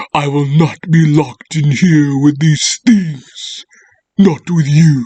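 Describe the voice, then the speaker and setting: Using a put-on character voice, a man talks at a fairly slow pace with a fairly high pitch and fairly even intonation. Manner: dramatic, theatrical reading.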